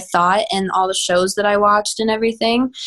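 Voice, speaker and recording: Using an ordinary speaking voice, a woman with an American accent speaks at medium pitch and a moderate pace with fairly even intonation. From Texas, Houston. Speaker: pop singer. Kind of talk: interview.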